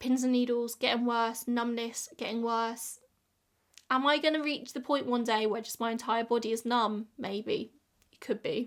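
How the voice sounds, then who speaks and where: A woman's high-pitched voice with an English accent, fairly quick and monotone with flat intonation, on a very clean recording with a silent background. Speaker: YouTuber. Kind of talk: casual chat.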